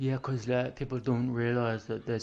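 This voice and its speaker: A man speaks with a Welsh accent. His pace is moderate. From Wales. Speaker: gaming streamer. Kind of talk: casual chat. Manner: animated.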